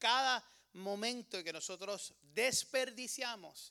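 A man speaks in a raised, projected voice with an animated, bright and sharp tone and ordinary pitch variation. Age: 30s. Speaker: preacher. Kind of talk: sermon.

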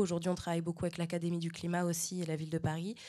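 The woman's voice is fairly low in pitch, with a dark, mellow tone. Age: 20s. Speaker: dancer. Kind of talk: panel discussion on stage. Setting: stage with audience. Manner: halting.

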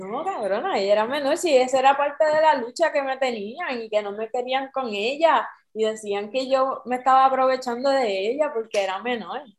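Her moderate pace has hardly any pauses. A woman speaks with a high pitch. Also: ordinary pitch variation. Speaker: podcast co-host. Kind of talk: casual chat.

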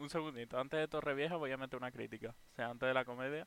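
A man talks at a very fast pace with a bright, sharp tone. His pitch is medium and his intonation fairly even. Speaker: podcast co-host. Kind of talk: casual chat. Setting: live stream.

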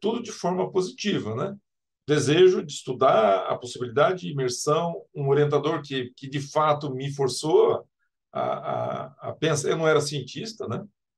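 A man talks fairly slowly in a somewhat breathy voice, his intonation lively. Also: big swings in loudness. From Brazil, Mato Grosso do Sul (Campo Grande). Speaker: civil engineering professor. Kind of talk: interview.

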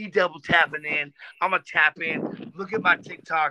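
In a dry, close recording with no echo, a man with an American accent speaks in a fairly high pitch, with a bright, sharp tone and fairly even intonation. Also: moderate pace.

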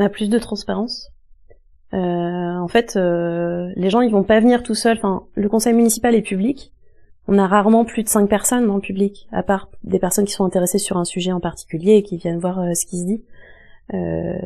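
With a dark, mellow tone, a woman talks at a moderate pace and medium pitch, her intonation fairly even against a quiet background. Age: 30s. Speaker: local councillor and activist. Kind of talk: interview. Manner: hesitant, many fillers.

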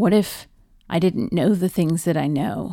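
A woman speaks at a fairly slow pace with vocal fry and a dark, mellow tone. Her pitch varies in an ordinary way, and the recording is very clean with a silent background. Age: 40s. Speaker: podcast host and nurse. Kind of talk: personal testimony. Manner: halting.

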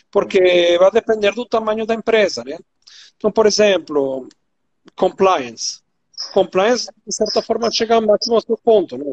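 Using lively intonation and a high pitch, a man speaks at a moderate pace broken by long, frequent pauses. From Venezuela. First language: Spanish (speaking Portuguese). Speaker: compliance executive, ESG expert. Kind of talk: expert interview. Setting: online live stream.

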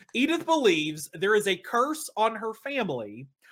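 A man's raised, projected voice, high in pitch, bright and sharp in tone, with very wide pitch swings. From East Tennessee. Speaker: podcast host. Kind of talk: casual chat. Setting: video call.

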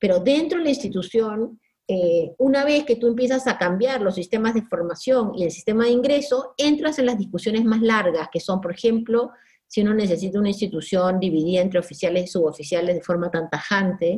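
A woman with a medium pitch talks at a fairly quick pace, her intonation lively. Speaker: sociologist. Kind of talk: interview.

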